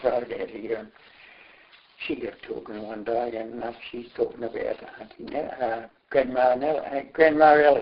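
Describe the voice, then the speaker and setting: With an Australian accent, this speaker is a man. He talks neither fast nor slow. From Australia, Gippsland, Victoria. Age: 80s+. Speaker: elderly local reminiscing about family history. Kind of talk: oral history interview. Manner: halting.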